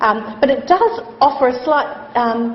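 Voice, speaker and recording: Amid noticeable background noise, a woman talks with ordinary pitch variation. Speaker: chief nurse and hospital executive. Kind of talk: lecture. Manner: loud.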